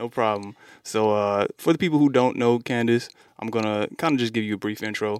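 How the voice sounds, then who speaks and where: A man with an American accent talks at a fairly quick pace in an ordinary speaking voice. The recording is very clean with a silent background and a dry, close sound with no echo. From Mississippi, US South. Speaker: podcast host, tattoo artist. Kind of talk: casual chat. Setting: studio.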